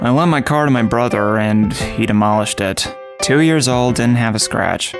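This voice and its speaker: Over clear background music, a man talks at a moderate pace with lively intonation. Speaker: voice actor. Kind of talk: TV commercial read. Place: booth.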